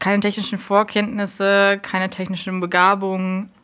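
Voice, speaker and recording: A woman speaks at a medium pitch. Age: 20s. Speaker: student radio volunteer. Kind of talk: casual interview. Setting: university radio station.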